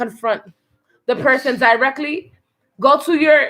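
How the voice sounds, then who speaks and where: A woman speaks in a raised, projected voice, high in pitch with a bright, sharp tone. Her intonation is lively and her pace moderate. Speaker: family show host. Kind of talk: casual chat. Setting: at home. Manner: stutters at times.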